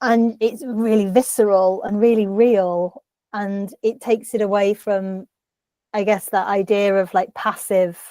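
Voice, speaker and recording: In a northern English accent, a woman speaks with a dark, mellow tone at medium pitch and fairly even intonation, in a dry, close sound with no echo on a very clean recording with a silent background. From northern England. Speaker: writer and book editor. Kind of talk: interview.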